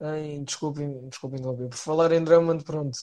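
A man with a European Portuguese accent, a fairly high pitch, fairly even intonation and a moderate pace. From Portugal. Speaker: podcast guest. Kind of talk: casual chat. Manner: hesitant, many filler sounds.

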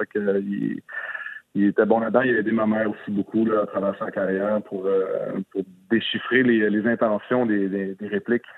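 Monotone, flat-sounding man at a moderate pace. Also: fairly low pitch for a man. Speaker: actor. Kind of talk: interview. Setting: phone call.

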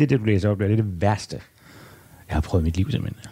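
Somewhat breathy and dark, mellow in tone, a man talks at a moderate pace and fairly low pitch with ordinary pitch variation. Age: 50s. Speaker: journalist and author. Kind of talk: interview conversation. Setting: at home.

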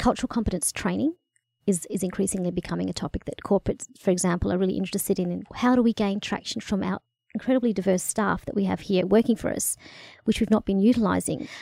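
A woman with an Australian accent, a dark, mellow tone, vocal fry and ordinary pitch variation, at a very fast pace, in a dry, close sound with no echo. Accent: Australian; people can't place it. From Australia, country Victoria (Bendigo). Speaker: cross-cultural consultant. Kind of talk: interview. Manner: hesitant fillers.

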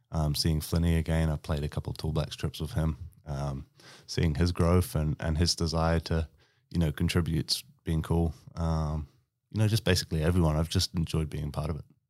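This man with a New Zealand accent has a very deep, low pitch and fairly even intonation at a fairly quick pace. The sound is dry and close with no echo, a very clean recording with a silent background. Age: 30s. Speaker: basketball player. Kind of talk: casual interview. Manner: halting, many fillers.

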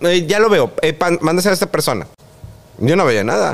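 A high-pitched man talks at a moderate pace. Noticeable background noise can be heard. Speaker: TV presenter. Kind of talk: interview.

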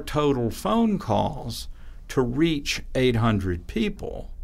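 At a very slow pace, a man talks with a fairly high pitch. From Alabama. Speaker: pollster and political science professor. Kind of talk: interview.

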